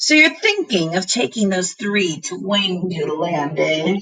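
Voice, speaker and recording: A woman uses a raspy, put-on character voice at a medium pitch and a moderate pace. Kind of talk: read-aloud to a class. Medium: read story. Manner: rude, grumbling, menacing.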